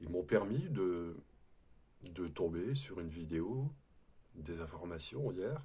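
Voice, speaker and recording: In a very deep, low voice that is somewhat breathy, a man speaks at a very slow pace, with very wide pitch swings and long, frequent pauses. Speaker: spiritual video host, former prison guard. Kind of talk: spiritual talk to camera. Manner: hesitant, with fillers and repetitions.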